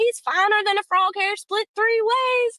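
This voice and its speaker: In a put-on character voice, a woman speaks at a moderate pace with an extremely high pitch. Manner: playful impression, comedic.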